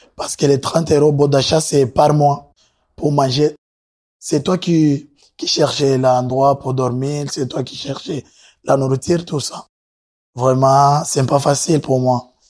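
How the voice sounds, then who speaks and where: In a very clean recording with a silent background, a man speaks very slowly at a fairly high pitch, with flat, monotone intonation and long, frequent pauses. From Burundi. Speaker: asylum seeker. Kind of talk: testimony. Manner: halting.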